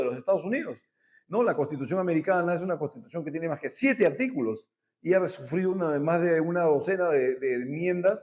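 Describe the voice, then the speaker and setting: This man has a high pitch and lively intonation. He talks at a fairly quick pace. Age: 60s. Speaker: talk show host, transport analyst. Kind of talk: interview. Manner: halting, many fillers.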